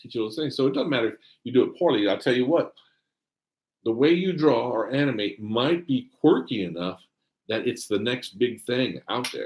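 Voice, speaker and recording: At a moderate pace, a man speaks at medium pitch with lively intonation. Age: 50s. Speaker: animator and filmmaker. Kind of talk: casual chat. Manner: animated.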